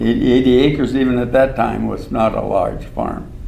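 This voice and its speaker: Amid noticeable background noise and audible room echo, a man with a medium-pitched voice and an American accent talks at a fairly slow pace. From southern Minnesota. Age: 80s+. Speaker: retired professor. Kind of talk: oral history interview. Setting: stage with audience. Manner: halting.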